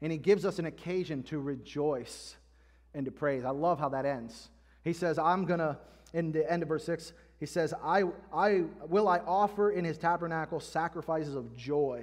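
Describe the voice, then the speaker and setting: This man has an unremarkable speaking voice, fairly high in pitch. He talks at a moderate pace with ordinary pitch variation. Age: 30s. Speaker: pastor. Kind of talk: sermon. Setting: church.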